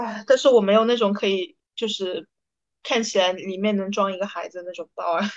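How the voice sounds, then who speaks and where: A plain, everyday voice from a woman, medium in pitch, at a fairly quick pace with big swings in loudness and ordinary pitch variation. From Hunan, China. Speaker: podcast co-host, consultant. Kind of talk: casual chat.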